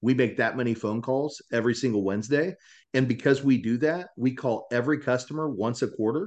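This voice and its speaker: Speaking at a fairly quick pace, the man has a medium pitch and a plain, everyday voice. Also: ordinary pitch variation. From Kansas. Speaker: mortgage company leader. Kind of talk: podcast interview.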